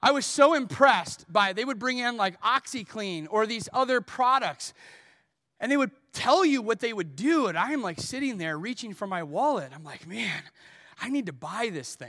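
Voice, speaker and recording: A man speaks in a raised, projected voice with a high pitch and very wide pitch swings. His tone is bright and sharp. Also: moderate pace. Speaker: pastor. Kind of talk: sermon; pitchman parody, infomercial-style mimicry. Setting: church. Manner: animated, playful, comedic timing; conversational, self-deprecating.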